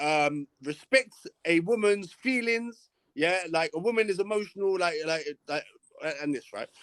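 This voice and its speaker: The man's voice is dry and close, with no echo. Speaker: live-stream host debating viewers. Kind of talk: heated debate. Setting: live stream. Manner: halting, repetitive.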